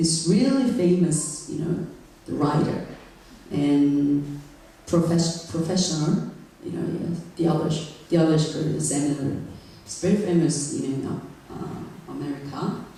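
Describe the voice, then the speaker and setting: Speech with a non-native accent comes at a fairly slow pace with long, frequent pauses. Background noise is noticeable. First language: not English. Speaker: guest preacher. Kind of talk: sermon. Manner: halting, many fillers; serious.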